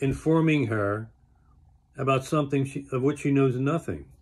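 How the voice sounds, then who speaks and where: Pitch moves with ordinary variation here. There is a somewhat breathy quality to the voice. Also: man. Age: 70s. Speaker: health enthusiast vlogger. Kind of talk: casual monologue. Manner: conversational, with fillers.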